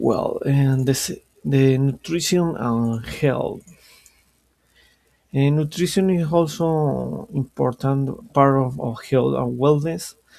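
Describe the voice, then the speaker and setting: With a Colombian accent, a man speaks very slowly in a fairly high voice with ordinary pitch variation. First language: Spanish. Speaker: language student. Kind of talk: student class presentation. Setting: screen-shared recording. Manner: halting, with self-corrections.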